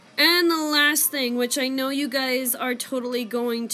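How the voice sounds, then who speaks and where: Fairly slow speech from a woman with a high pitch and ordinary pitch variation, over noticeable background noise. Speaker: cosplay youtuber. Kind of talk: casual chat; tutorial. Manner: hesitant, many fillers.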